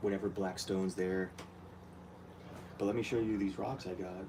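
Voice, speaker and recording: Flat and monotone, a man speaks in a fairly low voice with a dark, mellow tone. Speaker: aquarium hobbyist vlogger. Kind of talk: casual tutorial vlog. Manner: soft-spoken.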